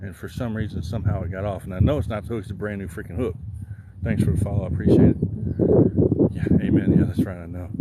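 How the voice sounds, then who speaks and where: Speaking at a very fast pace, a man with an American accent keeps a fairly low pitch and fairly even intonation. Noticeable background noise and audible room echo fill the recording. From Southern Illinois. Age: 40s. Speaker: outdoor livestreamer. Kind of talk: casual livestream chat. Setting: outdoors fishing.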